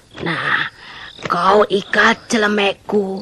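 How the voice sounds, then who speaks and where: This is a put-on character voice that sounds female. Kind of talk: folk tale drama. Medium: audio drama. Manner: coaxing, reassuring.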